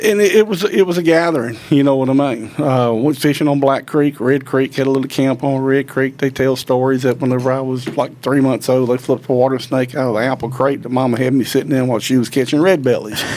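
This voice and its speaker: A man with a Mississippi accent, medium pitch and ordinary pitch variation, at a very fast pace with hardly any pauses. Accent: Southern US, Mississippi. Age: 60s. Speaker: professional turkey hunter and call designer. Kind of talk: interview, casual chat.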